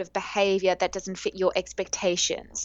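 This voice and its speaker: A woman with an Australian accent. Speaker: dating coach. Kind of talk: interview. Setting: remote call.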